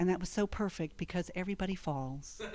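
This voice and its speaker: At a fairly quick pace, a woman talks in a dark, mellow tone at medium pitch with ordinary pitch variation. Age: 60s. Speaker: comedian. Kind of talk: stand-up.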